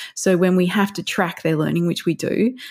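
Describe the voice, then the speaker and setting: The voice belongs to a woman with an Australian accent. Her tone is dark and mellow, and her pace is fairly quick. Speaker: parenting counsellor and educator. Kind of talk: podcast interview.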